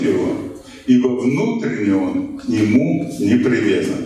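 In a room with strong echo, a man speaks at a very slow pace. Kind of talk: lecture. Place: shop.

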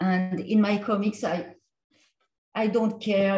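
A woman with a French accent talks at a very slow pace with fairly even intonation. Audible room echo and light background noise surround her voice. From France. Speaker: comics artist and lecturer; comics artist, lecturer. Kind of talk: lecture with Q&A. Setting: video call. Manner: halting, hesitant. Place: home room. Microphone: video call.

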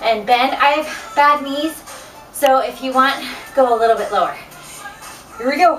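Clear music plays in the background while a woman with a high pitch speaks at a fairly slow pace. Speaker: fitness instructor. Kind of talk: workout instruction. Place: home room. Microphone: camera far.

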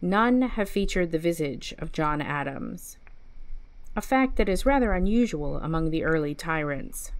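Speaking fairly slowly, a woman uses a plain, everyday voice at a fairly low pitch. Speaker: library storyteller reading aloud. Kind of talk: mock documentary narration, deadpan scholarly reading of a fiction story. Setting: online video series.

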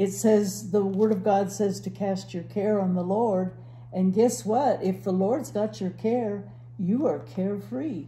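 Dark, mellow speech with vocal fry, lively intonation and a fairly slow pace. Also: woman. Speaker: church Bible teacher. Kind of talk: Bible teaching conversation. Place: home room.

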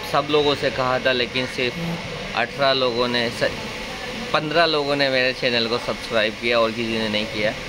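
A man speaks at a moderate speed, with noticeable noise behind him. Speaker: food vlogger. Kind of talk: casual vlog chat. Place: cafe. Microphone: phone near.

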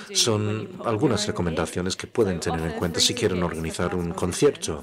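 Noticeable background noise sits under the speech. The man keeps a moderate pace. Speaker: interpreter voicing the workshop leader. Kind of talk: interpreted workshop presentation. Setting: stage with audience.

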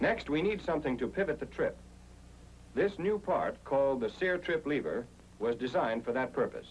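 With an American accent, a man talks at a moderate pace and keeps his loudness very even. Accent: 1940s American newsreel-style narrator. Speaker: training film narrator. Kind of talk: 1940s military training film narration. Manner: formal, authoritative and measured; clear, steady and instructional, with brisk, even pacing.

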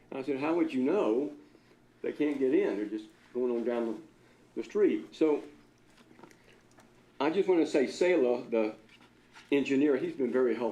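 Moderate pace from a man with a fairly high pitch, plus audible room echo. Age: 70s. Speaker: accountant and local business owner. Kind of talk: public comment at city council meeting. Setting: city council meeting. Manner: animated.

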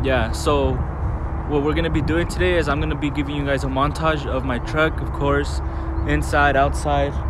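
With a very deep, low pitch, a man speaks at a moderate pace in a flat monotone, the sound dry with no echo and noticeable background noise. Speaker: vlogger. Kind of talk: casual talk to camera. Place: street. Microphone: phone near.

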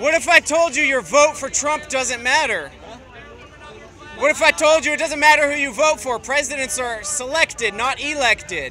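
A man's raised, projected voice at a moderate pace, dry with no echo, over faint music in the background. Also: ordinary pitch variation. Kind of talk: heated street argument. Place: street. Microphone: phone near.

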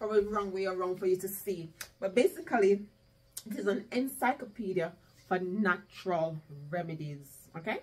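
A woman speaks at a moderate pace in a somewhat breathy, animated tone with ordinary pitch variation. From Jamaica. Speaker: home gardening youtuber. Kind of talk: casual vlog tutorial. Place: home room. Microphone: camera far.

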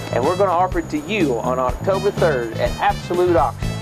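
Clear music sounds behind the speaker. He is a man talking at a fairly quick pace. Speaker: auctioneer. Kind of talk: real estate auction promo. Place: garden.

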